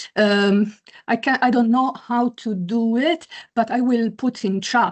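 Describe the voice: A woman speaks slowly in a slightly mellow tone.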